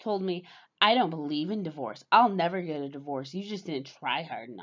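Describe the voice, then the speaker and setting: Loudness swinging widely, a woman talks in an ordinary speaking voice at a moderate pace and fairly low pitch. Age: 30s. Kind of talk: casual talk to camera.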